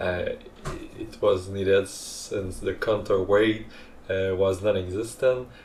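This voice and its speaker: Over noticeable background noise, a man with a non-native accent speaks at a fairly slow pace in a fairly low, flat monotone. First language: not English. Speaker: hobbyist 3D printing creator. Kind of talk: tutorial narration. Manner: hesitant, many fillers.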